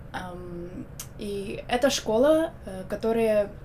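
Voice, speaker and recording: The voice belongs to a woman. Her pitch sits fairly high. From Belarus, Minsk. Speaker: university student. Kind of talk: casual chat. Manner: hesitant, many fillers.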